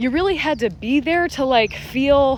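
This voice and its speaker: Over noticeable background noise, a woman talks in a high pitch with lively intonation and an animated tone. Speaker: vlogger sharing personal testimony. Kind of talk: personal testimony monologue. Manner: animated, conversational.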